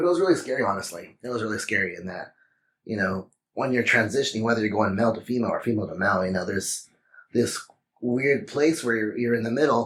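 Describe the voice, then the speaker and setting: A man talks at a very fast pace. He has a Texan accent. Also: medium pitch for a man, ordinary pitch variation. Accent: Texan American English. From Texas. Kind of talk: interview. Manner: hesitant, many fillers.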